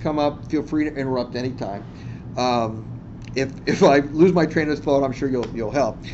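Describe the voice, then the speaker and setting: With audible room echo, a man with an American accent talks at a fairly quick pace, his fairly high voice showing vocal fry and ordinary pitch variation. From Washington DC. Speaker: physician and political candidate. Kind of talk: seminar talk. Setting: university classroom. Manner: fast; halting, many fillers.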